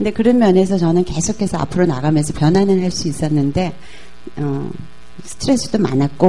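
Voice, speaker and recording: Soft-spoken and fairly quick, a woman talks at a fairly low pitch with ordinary pitch variation over noticeable background noise. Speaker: business executive. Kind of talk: talk show interview.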